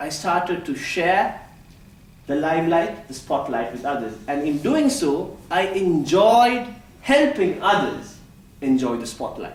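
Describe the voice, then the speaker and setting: A loud, high-pitched man at a fairly slow pace, with very wide pitch swings, audible room echo and noticeable background noise. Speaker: public speaking club member. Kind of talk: prepared speech. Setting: stage with audience. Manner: animated.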